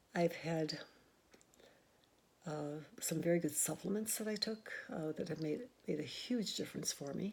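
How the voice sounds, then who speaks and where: The voice is somewhat breathy, with ordinary pitch variation and long, frequent pauses. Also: woman, fairly low pitch for a woman. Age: 70s. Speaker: nurse practitioner. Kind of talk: casual talk to camera.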